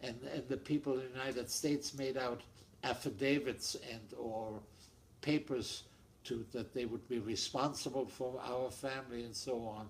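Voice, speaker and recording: With a German accent, a man speaks at a medium pitch and moderate pace with fairly even intonation. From Germany. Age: 80s+. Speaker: Holocaust-era refugee, family interviewee. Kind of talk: oral history interview. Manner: halting, repetitive.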